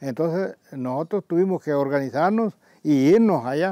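Dark and mellow in tone, the voice shows ordinary pitch variation, with a dry sound free of echo and a quiet background. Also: man. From El Salvador, Chalatenango; El Salvador. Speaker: community elder and former farmer. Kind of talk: oral history interview. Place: garden.

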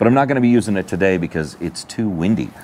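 A man with lively intonation over light background noise. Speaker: outdoor gear reviewer. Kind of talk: casual tutorial vlog. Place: open country. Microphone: lapel.

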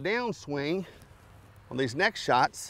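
The voice has a fairly bright tone with vocal fry. It moves at a moderate pace. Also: man.

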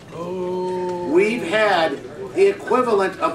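There is noticeable background noise. Over it, a man is talking. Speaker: audience member. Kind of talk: open-floor discussion.

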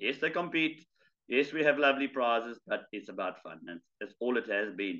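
In a bright, sharp tone, a man talks at a fairly quick pace with lively intonation against a quiet background. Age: 50s. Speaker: charity fundraiser and ultramarathon runner; guest. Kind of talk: casual interview chat. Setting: video call. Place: home room. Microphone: video call.

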